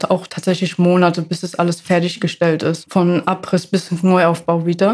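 A woman talks at a moderate pace. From Ludwigshafen, Germany. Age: 20s. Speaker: apprentice sewer construction worker. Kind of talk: casual interview.

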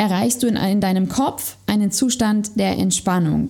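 A woman speaks fairly slowly at a medium pitch, with ordinary pitch variation. Her tone is dark and mellow and somewhat breathy. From Sauerland, western Germany. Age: 30s. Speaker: personal trainer and yoga teacher. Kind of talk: interview, casual chat.

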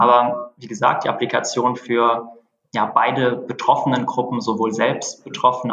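At a moderate pace, a man with an unremarkable speaking voice talks at medium pitch. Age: 30s. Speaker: startup founder and CEO. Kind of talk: interview. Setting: phone call.

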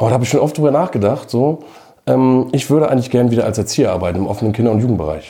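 A man's medium-pitched, dark, mellow voice with vocal fry, very even loudness and a very fast pace. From Schleswig-Holstein, northern Germany. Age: 40s. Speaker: record label owner. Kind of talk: casual interview.

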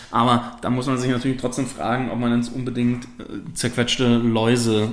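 Medium-pitched male voice at a moderate pace, monotone and flat in intonation, with audible room echo. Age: 30s. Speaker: spirits salesman. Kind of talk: casual interview. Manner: halting, many fillers.

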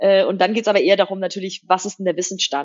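Here a woman speaks at medium pitch. She goes at a very fast pace. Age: 30s. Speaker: fintech CEO. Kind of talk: interview. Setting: studio.

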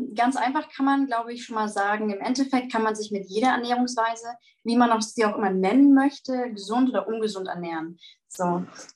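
This woman has an unremarkable speaking voice with a fairly high pitch and ordinary pitch variation. She talks at a fairly quick pace. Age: 20s. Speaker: vegan nutrition advisor. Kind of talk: interview answers, explanatory.

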